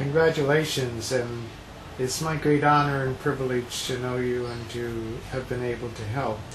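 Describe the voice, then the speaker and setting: A man of medium pitch speaks at a moderate pace with fairly even intonation, with audible room echo and noticeable background noise. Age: 70s. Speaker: DUI defense attorney. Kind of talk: testimonial interview.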